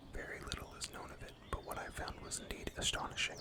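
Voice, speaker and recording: A man whispers very fast over noticeable background noise. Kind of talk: horror story narration. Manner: whispered.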